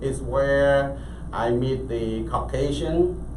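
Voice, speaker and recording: Very slow speech from a man, noticeable background noise and audible room echo around him. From Cambodia. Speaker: entrepreneur. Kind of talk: interview. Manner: halting, many fillers.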